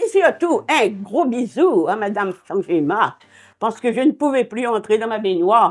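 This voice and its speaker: A woman with a fairly high voice speaks at a fairly slow pace, her pitch swinging very widely. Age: 80s+. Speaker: tenant. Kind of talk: interview testimony.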